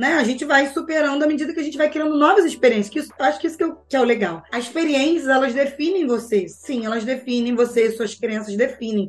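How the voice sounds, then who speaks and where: Against noticeable background noise, a woman with a high pitch speaks at a very fast pace in an animated tone with lively intonation and hardly any pauses. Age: 40s. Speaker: behavioral finance educator. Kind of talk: casual interview chat.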